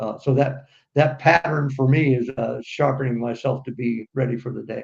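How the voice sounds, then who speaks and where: An American man speaks at a moderate pace with a medium-pitched, somewhat breathy voice, fairly even intonation and big swings in loudness. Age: 60s. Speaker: business aviation executive. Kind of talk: interview. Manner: halting.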